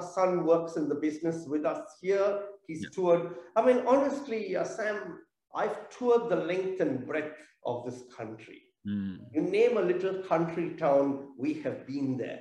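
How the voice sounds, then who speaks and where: A man with a high-pitched yet dark, mellow voice speaks at a fairly slow pace with very wide pitch swings, in audible room echo. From South India (Chennai). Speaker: theatre business owner. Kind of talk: interview.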